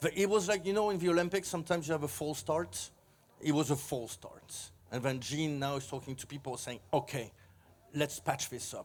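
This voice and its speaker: A man has a normal speaking voice with a fairly high pitch and lively intonation. He goes at a fairly quick pace with big swings in loudness in a very clean recording with a silent background. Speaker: record label head. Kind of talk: interview.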